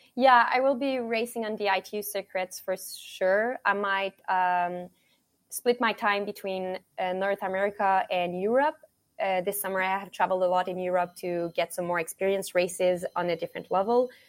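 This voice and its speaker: A woman's medium-pitched voice in a Quebec accent at a moderate pace, on a very clean recording with a silent background. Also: ordinary pitch variation, dry, close sound with no echo. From Quebec, Montreal. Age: 20s. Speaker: college triathlete. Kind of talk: interview.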